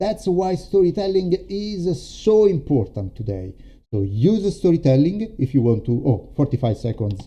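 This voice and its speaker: With an Italian accent, a man speaks at a moderate pace in a dark, mellow, somewhat breathy tone, his pitch swinging very widely. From Italy. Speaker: storytelling coach. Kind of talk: live stream demo. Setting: live stream. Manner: halting, many fillers.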